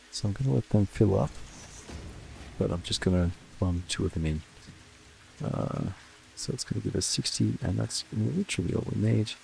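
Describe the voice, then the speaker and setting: Soft-spoken and very deep in pitch, a man talks at a moderate pace with very wide pitch swings and long, frequent pauses. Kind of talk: soft-spoken relaxed gaming commentary for sleep. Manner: soft-spoken, easygoing.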